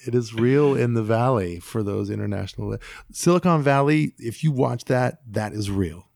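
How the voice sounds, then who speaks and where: A man with an American accent in a normal speaking voice, medium pitch, lively intonation and moderate pace, on a very clean recording with a silent background. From US West Coast, San Francisco Bay Area. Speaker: DJ and music producer. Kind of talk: casual chat.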